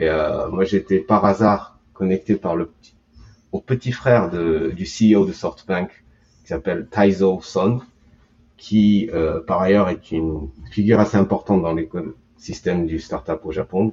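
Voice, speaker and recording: A man with a very deep, low pitch, a very slow pace and long, frequent pauses. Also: ordinary pitch variation. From Japan, Tokyo. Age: 40s. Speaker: startup consultant. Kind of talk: interview. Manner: halting.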